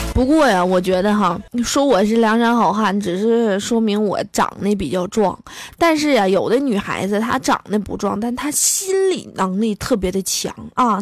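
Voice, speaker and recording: A woman speaks at a moderate pace in a fairly high voice, her tone animated and her pitch varying in an ordinary way. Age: 20s. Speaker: comedy podcaster. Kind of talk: comic monologue.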